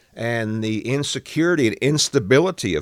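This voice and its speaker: On a very clean recording with a silent background, a man with a Southern US accent speaks with lively intonation. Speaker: political commentator. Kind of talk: political podcast commentary. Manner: casual, conversational.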